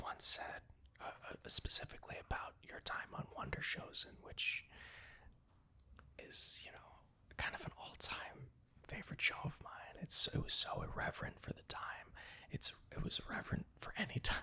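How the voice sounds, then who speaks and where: Whispering at a moderate pace, a man leaves long, frequent pauses, with big swings in loudness. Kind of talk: podcast interview host. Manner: whispered.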